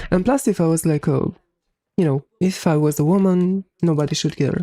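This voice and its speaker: The speaker talks at a moderate pace in a Romanian accent. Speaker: gaming streamer. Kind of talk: casual live stream chat.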